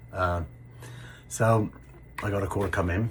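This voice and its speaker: Vocal fry in a man's voice, with ordinary pitch variation. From England, Somerset. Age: 60s. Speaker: construction worker sharing illness story. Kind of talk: personal storytelling to camera. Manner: hesitant, many fillers.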